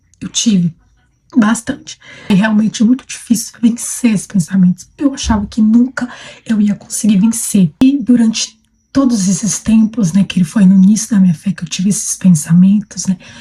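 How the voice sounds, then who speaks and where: At a moderate pace, a woman talks in a somewhat breathy voice with a dark, mellow tone. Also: medium pitch for a woman, ordinary pitch variation. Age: 20s. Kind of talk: personal testimony. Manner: hesitant, many fillers.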